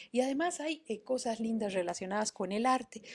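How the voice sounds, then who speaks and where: Over a quiet background, a woman with an ordinary speaking voice talks at a fairly quick pace with a fairly high pitch. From Mexico City. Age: 50. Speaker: online storytelling workshop host. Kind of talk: live-streamed talk with book readings. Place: home room. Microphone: webcam.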